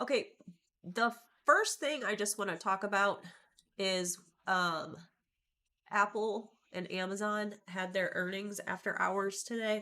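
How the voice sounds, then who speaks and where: Pausing long and often, a woman speaks at a fairly slow pace in a medium pitch with a bright, sharp tone. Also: ordinary pitch variation. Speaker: trading educator. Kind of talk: livestream market commentary. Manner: casual, with frequent ums.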